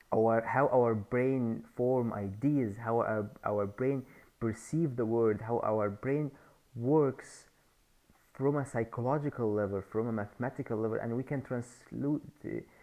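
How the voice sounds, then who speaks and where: A man with a non-native accent speaks at a fairly slow pace. His pitch is medium, with fairly even intonation. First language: not English. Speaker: YouTuber sharing ideas. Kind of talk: casual monologue. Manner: halting.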